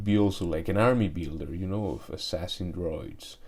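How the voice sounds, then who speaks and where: The speaker has lively intonation and talks with a Spanish accent. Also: man. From Mexico. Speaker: toy collector YouTuber. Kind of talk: product review unboxing. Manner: hesitant, many fillers and restarts.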